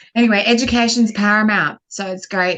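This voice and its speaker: With an Australian accent, a woman talks at a fairly quick pace. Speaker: guest commentator. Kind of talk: casual chat.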